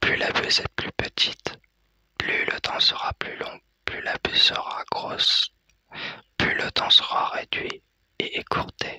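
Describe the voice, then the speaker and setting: Whispering at a very slow pace, a man is heard in a dry, close sound with no echo. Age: 30s. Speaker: ASMR content creator. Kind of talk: ASMR explanation to camera. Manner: soft-spoken, whispered.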